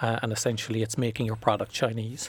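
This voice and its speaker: This speaker has a Cork accent. The recording is very clean, with a silent background. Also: man. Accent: Irish (Cork). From Ireland. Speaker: venture capital investor and CFO. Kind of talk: podcast interview. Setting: studio.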